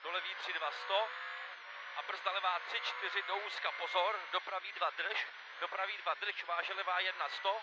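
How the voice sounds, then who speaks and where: With a dry sound and no echo, a man speaks in a high pitch at a moderate pace over loud background noise. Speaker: rally co-driver. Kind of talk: pace note calls. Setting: in a rally car during a stage. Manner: tense, emphatic warnings that rise on danger spots. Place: car. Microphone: headset.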